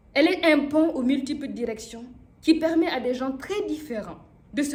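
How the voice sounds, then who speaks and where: In a strong African accent, a woman speaks at a moderate pace, her high pitch showing ordinary variation. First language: Mooré (speaking French). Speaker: comedian. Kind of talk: speech.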